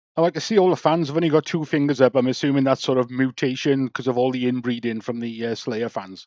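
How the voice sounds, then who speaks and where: With an English accent, a man talks at a very fast pace with hardly any pauses, medium pitch and ordinary pitch variation, in a dry, close recording with no echo. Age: 60s. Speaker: YouTube reactor. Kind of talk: reaction commentary.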